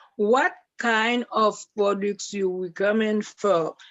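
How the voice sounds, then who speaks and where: In a French accent, a woman speaks at a very slow pace. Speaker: participant asking a question. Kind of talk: question on video call. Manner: halting, stuttering for words.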